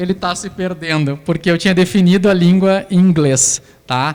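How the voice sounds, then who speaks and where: A man speaks at a moderate pace in a high voice, his pitch rising and falling in an ordinary way. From southern Brazil, Santa Maria (Rio Grande do Sul). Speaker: lecturer on educational technology. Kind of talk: lecture with live demonstration. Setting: lecture hall with audience. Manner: casual, conversational. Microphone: echo from microphone feedback.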